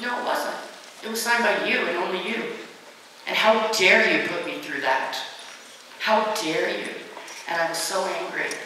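A woman's fairly high voice at a moderate pace, with ordinary pitch variation, long, frequent pauses, strong room echo and light background noise. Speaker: motivational speaker against bullying. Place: hall.

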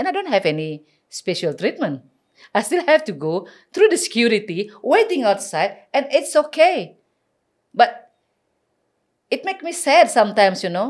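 A woman with an Indonesian accent speaks at a high pitch and a moderate pace, with very wide pitch swings. Long, frequent pauses break her speech against a quiet background. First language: Balinese. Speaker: community advocate; podcast guest. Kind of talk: interview. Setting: studio. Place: studio. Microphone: studio mic.

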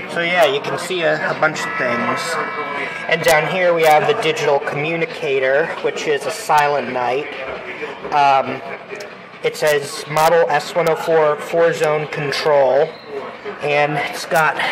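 Slowish and marked by long, frequent pauses, a man's speech comes through noticeable background noise. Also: fairly even intonation. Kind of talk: casual tour commentary. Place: hall. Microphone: phone near.

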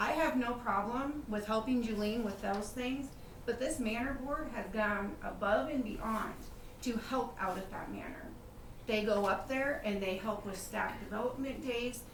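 Speaking at a moderate pace, a woman uses ordinary pitch variation. Audible room echo and noticeable background noise fill the recording. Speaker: city council member. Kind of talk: public meeting debate. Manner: loud.

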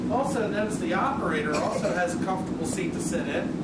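A man speaks at a moderate pace. Loud background noise runs under his voice. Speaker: museum streetcar guide. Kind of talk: guided tour talk. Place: train. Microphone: camera far.

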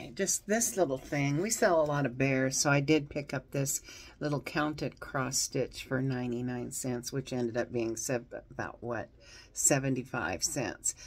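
A woman with a very deep, low pitch talks at a moderate pace. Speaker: reseller showing thrift finds. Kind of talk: casual vlog chat. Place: home room. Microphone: phone near.

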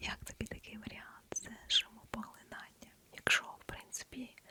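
Against noticeable background noise, a woman whispers in a gentle tone. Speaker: ASMR creator. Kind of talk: ASMR whisper with product demo to camera. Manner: soft whispered, gentle; quiet, close-mic.

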